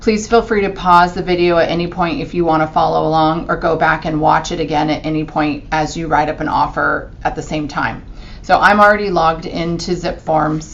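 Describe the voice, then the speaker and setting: Speaking at a fairly quick pace with hardly any pauses, a woman uses a fairly low pitch and fairly even intonation, with noticeable background noise and audible room echo. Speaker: real estate agent. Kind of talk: screen-recorded tutorial. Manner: casual with fillers.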